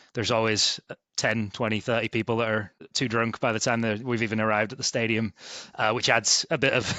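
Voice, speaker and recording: A man's medium-pitched voice, fairly quick, monotone and flat, at very even loudness. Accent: Yorkshire. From East Yorkshire, England (Hull). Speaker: sports ticket sales manager. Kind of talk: podcast interview.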